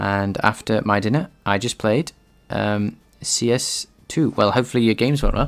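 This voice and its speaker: This man talks at a moderate pace in a medium pitch with ordinary pitch variation. The recording is very clean, with a silent background. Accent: British. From UK. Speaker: game developer streamer. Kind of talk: live coding stream. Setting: live stream. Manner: halting, with many fillers.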